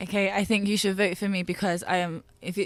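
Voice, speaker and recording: A monotone, flat delivery at a fairly quick pace, in a very clean recording with a silent background. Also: woman. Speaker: student election candidate. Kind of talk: debate closing statement. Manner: fast; loud.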